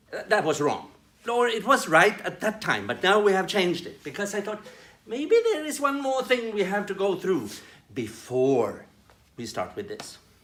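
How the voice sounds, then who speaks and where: With a Swedish accent, a man speaks at a moderate pace in a high pitch for a man, his voice making very wide pitch swings and big swings in loudness. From Sweden. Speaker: development worker presenting training videos. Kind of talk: tutorial. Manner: halting, with repetitions.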